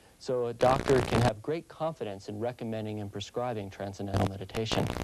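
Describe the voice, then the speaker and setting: A man speaks at a very fast pace with ordinary pitch variation amid noticeable background noise. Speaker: family physician. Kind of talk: interview answer. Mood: calm, assured, promotional. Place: office. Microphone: lapel.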